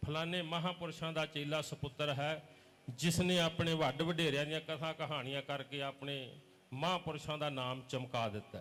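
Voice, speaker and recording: A man speaks with a Punjabi accent. His pitch is fairly high and his intonation fairly even. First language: Punjabi (speaking Hindi). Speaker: religious preacher. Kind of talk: sermon.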